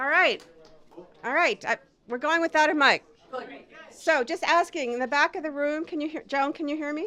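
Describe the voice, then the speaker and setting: A woman projects a raised voice with a bright, sharp tone and high pitch, at a moderate pace with ordinary pitch variation and long, frequent pauses. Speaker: poet at a reading. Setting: bar, live audience without a mic. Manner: loud, shouting to be heard. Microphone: no microphone, room sound.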